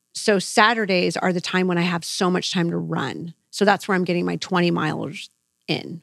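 In a very clean recording with a silent background and a dry, close sound with no echo, a woman with a fairly low pitch and vocal fry speaks at a moderate pace. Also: fairly even intonation. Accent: American. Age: 40s. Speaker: marathon runner and teacher. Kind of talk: casual interview chat.

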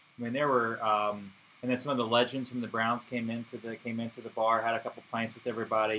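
Speaking at a very fast pace with hardly any pauses, a man with an American accent keeps a monotone, flat intonation. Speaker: football fan. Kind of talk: casual chat. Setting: studio.

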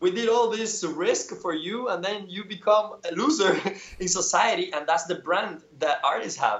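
A man with a Spanish accent talks in a high pitch at a moderate pace. His pitch variation is ordinary, and noticeable background noise is present. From Cuba. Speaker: painter. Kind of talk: casual interview chat.

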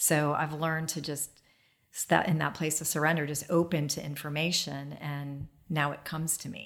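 On a very clean recording with a silent background, a woman speaks with a very deep, low pitch and monotone, flat intonation. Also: moderate pace. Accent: American. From US Midwest (Dayton, Ohio). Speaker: holistic healer and business owner. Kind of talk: casual interview. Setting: at a home, garden.

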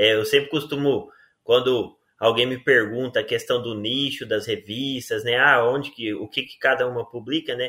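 Here is an unremarkable speaking voice from a man at a medium pitch. His pace is moderate and his intonation fairly even. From Rio Verde, Goiás, Brazil. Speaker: agronomy professor and journal editor. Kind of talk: interview.

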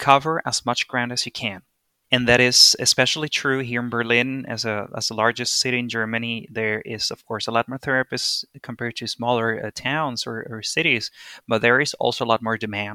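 With a Spanish accent, a man speaks at a fairly quick pace and medium pitch, his intonation fairly even. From Venezuela. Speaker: interview guest. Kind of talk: casual interview chat. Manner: hesitant, with fillers.

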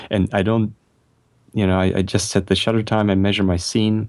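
A fairly quick, flat, monotone delivery. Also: man. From Germany. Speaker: photographer. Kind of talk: casual interview chat.

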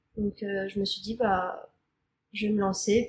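Speaking in a fairly high, somewhat breathy voice, a woman keeps her intonation flat and monotone. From Normandy, France. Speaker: podcast guest. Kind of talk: casual interview. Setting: in person.

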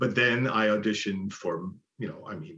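At a moderate pace and with ordinary pitch variation, this is an unremarkable speaking voice. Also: man. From Buffalo, New York (East Side). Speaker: musical theater actor and singer. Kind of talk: interview.

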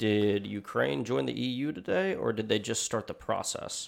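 Speaking with vocal fry, a man's voice sits fairly low in pitch. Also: very clean recording, silent background. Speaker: podcast host and audio editor. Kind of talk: casual chat. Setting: studio.

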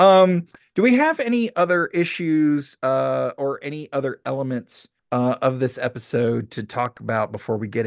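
With a fairly high pitch and lively intonation, a man speaks in an ordinary speaking voice. The background is quiet. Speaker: podcast host and comedian. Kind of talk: casual chat, comedy podcast interview.

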